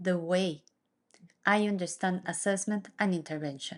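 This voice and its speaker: A woman speaks with a Mexican accent. Her pace is fairly slow and her pitch varies in an ordinary way. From Mexico. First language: Spanish. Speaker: neuropsychologist and occupational therapist. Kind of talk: presentation. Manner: formal.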